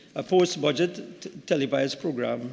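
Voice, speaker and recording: Vocal fry runs through this man's voice. His pitch is medium, with ordinary variation. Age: 60s. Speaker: member of parliament, doctor. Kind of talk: parliamentary speech. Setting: parliament chamber. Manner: halting, with repetitions.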